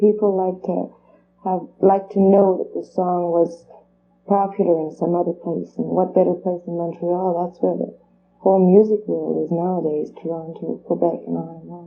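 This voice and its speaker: A woman talks in a French accent at a fairly low pitch with monotone, flat intonation. Her loudness swings widely. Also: moderate pace. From Canada, Alberta (French-speaking). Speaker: singer. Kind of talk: TV interview.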